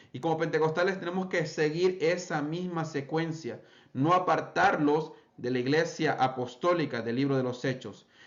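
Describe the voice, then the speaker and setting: Fairly high-pitched male speech with audible room echo. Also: ordinary pitch variation, moderate pace. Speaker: pentecostal preacher. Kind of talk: bible study lecture.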